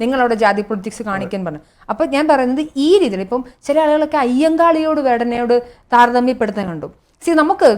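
This woman has a plain, everyday voice, pitched fairly high, with lively intonation. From Kerala. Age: 30s. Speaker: political commentator. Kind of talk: panel discussion.

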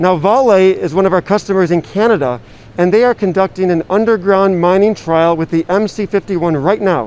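The speech runs at a moderate pace, the sound dry with no echo. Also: man. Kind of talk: interview answer. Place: hall. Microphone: handheld.

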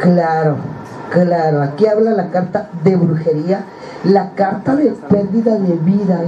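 Against light background noise, a woman speaks at a very slow pace with ordinary pitch variation and very even loudness. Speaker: card reader on a talk show. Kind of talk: casual talk show chat, card reading predictions. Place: studio. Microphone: handheld.

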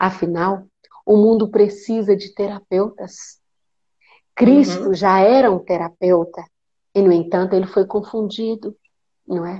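Over a quiet background, a woman with a dark, mellow tone talks at a fairly slow pace, using fairly even intonation and long, frequent pauses. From Brazil. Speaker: guest, spiritual light worker; guest. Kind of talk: casual spiritual conversation on live stream. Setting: video call live stream, phone with headphones. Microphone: earbuds.

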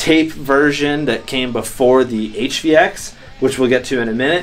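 Faint music plays in the background as a man talks with ordinary pitch variation. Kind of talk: casual vlog chat. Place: home room.

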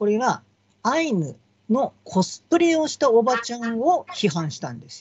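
Against a quiet background, a man talks at a moderate pace with an extremely high pitch, very wide pitch swings and big swings in loudness. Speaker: local politician. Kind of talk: political commentary. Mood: critical, explanatory. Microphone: video call.

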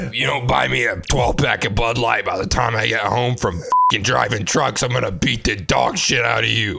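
Over faint music and sound effects in the background, a man puts on a raspy character voice at medium pitch and a moderate pace. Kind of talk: crude, redneck. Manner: angry, aggressive.

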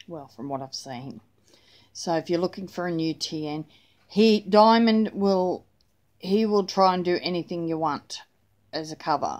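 A woman with an Australian accent speaks at a fairly slow pace, her ordinary pitch variation broken by long, frequent pauses. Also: fairly low pitch for a woman, big swings in loudness, quiet background. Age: 40s. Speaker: planner vlogger; planner hobby vlogger. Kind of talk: casual chat; casual vlog chat. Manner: rambling with fillers. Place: home room. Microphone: phone near.

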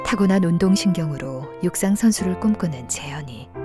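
Music plays in the background. A woman speaks in a calm, gentle tone at a fairly slow pace. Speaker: voice actor. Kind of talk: charity appeal narration.

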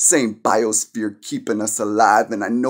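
A man at a moderate pace, quiet background behind him. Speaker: poet. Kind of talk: spoken word poetry, performed poem. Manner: earnest, impassioned, preachy tone. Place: home room. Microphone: phone near.

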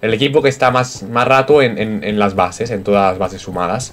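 There is noticeable background noise behind this man. His pitch is fairly low, with ordinary variation. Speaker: gaming YouTuber. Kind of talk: gameplay commentary. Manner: halting; animated.

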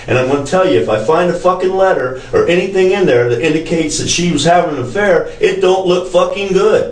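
A man speaks at a fairly quick pace with hardly any pauses, his pitch high for a man. His pitch variation is ordinary, and the room echo is audible. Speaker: police detective. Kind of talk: police interrogation. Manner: forceful, confrontational. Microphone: camera far.

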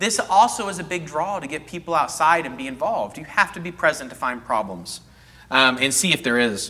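A man with a Texan accent speaks at a fairly quick pace with lively intonation. His tone is bright and sharp. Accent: Texan American English. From North Texas. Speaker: horticulturist giving a gardening class; presenter. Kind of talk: lecture. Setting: classroom with live audience, on a mic. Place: hall. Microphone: lapel.

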